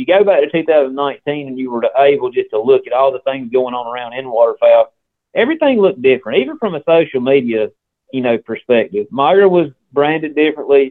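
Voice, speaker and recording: A man's fairly high voice in a Southern US accent, fairly quick, with lively intonation. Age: 40s. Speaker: ammunition company representative. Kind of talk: casual interview. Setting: phone call.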